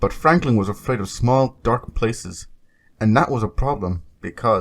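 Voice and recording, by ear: Lively intonation over reading aloud in a natural voice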